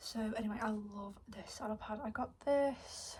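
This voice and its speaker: Soft-spoken, very slow speech in a British accent, with noticeable background noise. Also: woman. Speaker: equestrian vlogger. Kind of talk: casual haul video.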